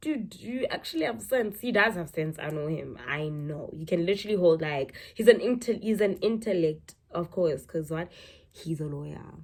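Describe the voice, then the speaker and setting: A woman with a fairly low, somewhat breathy voice speaks with big swings in loudness. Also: moderate pace. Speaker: YouTuber. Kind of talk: casual vlog talk. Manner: conversational, repetitive fillers; slurring.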